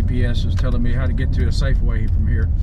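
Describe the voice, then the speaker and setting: A man talks at a moderate pace. Noticeable background noise runs under his voice. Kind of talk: casual vlog chat. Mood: relaxed, relieved. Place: car. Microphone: phone near.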